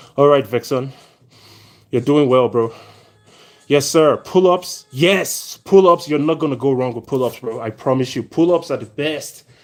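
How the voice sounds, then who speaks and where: Music in the background behind a man's fairly high voice, animated in tone, with ordinary pitch variation at a moderate pace. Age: 40s. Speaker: fitness trainer. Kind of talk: live stream chat. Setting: at home indoors.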